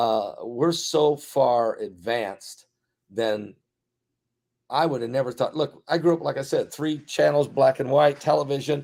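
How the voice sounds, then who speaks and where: With ordinary pitch variation, the man talks fairly slowly in a fairly high register. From US Midwest, Indiana. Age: 60s. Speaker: pastor. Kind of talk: interview conversation. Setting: video call. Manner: animated.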